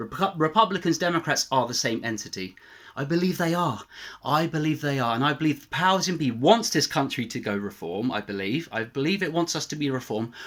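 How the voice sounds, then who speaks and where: A man with a fairly high pitch talks very fast, his intonation lively and his loudness swinging widely. The recording is very clean, with a silent background. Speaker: YouTuber. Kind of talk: political rant. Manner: animated.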